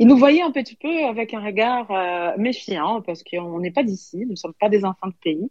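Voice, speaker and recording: Lively intonation and big swings in loudness mark this moderate-paced voice, which has a dry, close sound with no echo. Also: woman. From Brazil (São Paulo). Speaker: sommelier and restaurant co-owner. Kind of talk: interview. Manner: halting, many hesitations.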